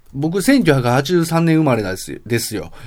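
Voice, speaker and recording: A man has an unremarkable speaking voice with lively intonation. He talks at a fairly slow pace. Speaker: podcast host. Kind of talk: casual monologue.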